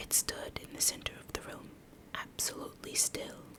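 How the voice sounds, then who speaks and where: Against noticeable background noise, the speaker is whispering at a fairly slow pace. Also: woman. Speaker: streamer, gaming ASMR creator. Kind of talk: ASMR reading of a scary story from Reddit. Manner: soft, hushed, slow.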